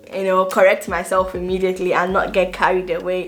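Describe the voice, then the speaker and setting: A woman with a Nigerian accent talks at a moderate pace. Noticeable background noise is present. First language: Igbo. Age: 20s. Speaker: vlogger and nursing student. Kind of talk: casual vlog talk to camera.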